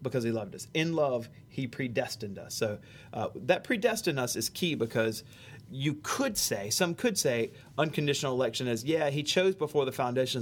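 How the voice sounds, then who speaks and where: A man with a Southern US accent, medium pitch, and lively intonation at a fairly quick pace, on a very clean recording with a silent background. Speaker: pastor. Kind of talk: theology discussion. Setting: church sound booth.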